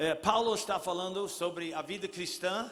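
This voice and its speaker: A man talks at a moderate pace with a high pitch and ordinary pitch variation. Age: 70s. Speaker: pastor. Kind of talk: sermon.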